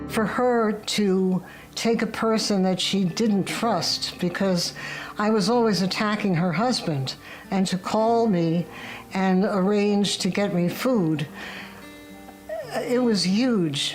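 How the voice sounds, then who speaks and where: Over noticeable background noise, the speaker moves at a very slow pace with long, frequent pauses, very even loudness and ordinary pitch variation. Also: woman, medium pitch for a woman. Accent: New York. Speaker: interviewee. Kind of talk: testimony interview.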